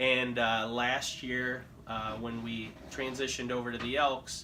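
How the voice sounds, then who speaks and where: In a Midwestern US accent, a man talks at a medium pitch and a fairly slow pace, with ordinary pitch variation. Room echo is audible, and background noise is noticeable. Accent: US Midwest. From Philippines, then Illinois from age 11. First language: Tagalog. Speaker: insurance agent. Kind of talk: casual interview.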